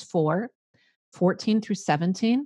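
Against a quiet background, a woman with a Midwestern US accent speaks in a somewhat breathy voice. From US Midwest. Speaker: life coach and podcaster. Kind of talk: casual interview chat.

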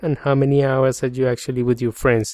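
Fairly even intonation from a man with a Colombian accent, in a dry, close sound with no echo. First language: Spanish. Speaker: podcast host. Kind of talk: solo podcast monologue. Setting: home office studio.

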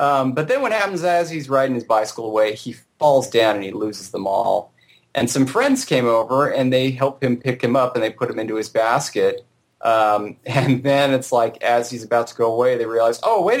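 A man talks with a Southern California accent. His pitch is medium, with ordinary variation. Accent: Southern California drawl. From Southern California, Orange County. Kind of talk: casual chat. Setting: remote call.

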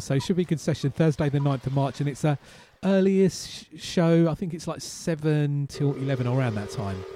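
Music plays in the background as a man speaks at a moderate pace. His pitch is fairly high and varies in an ordinary way. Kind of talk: radio DJ patter: back-announcing tracks and teasing upcoming music between songs.

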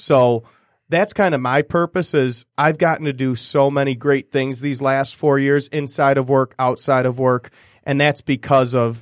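In an American accent, a man speaks with a normal speaking voice at medium pitch, fairly even intonation and a moderate pace. The sound is dry and close with no echo, in a very clean recording with a silent background. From Michigan, US. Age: 20s. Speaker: real estate sales director. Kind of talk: casual chat.

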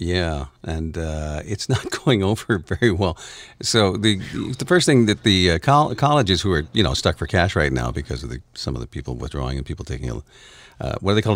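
Over a very clean recording with a silent background, a man with a very deep, low pitch and vocal fry talks at a fairly quick pace, his pitch swinging very widely. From Canada. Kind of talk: casual chat.

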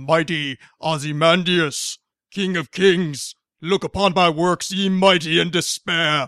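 A man uses a put-on character voice pitched high for a man, speaking at a fairly slow pace on a very clean recording with a silent background. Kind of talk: grand, declamatory. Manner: powerful, theatrical.

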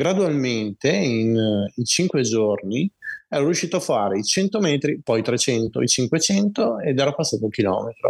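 A man at a moderate pace with very wide pitch swings, in a dry, close sound with no echo. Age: 40s. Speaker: person with multiple sclerosis, long-distance walker. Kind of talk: interview testimony.

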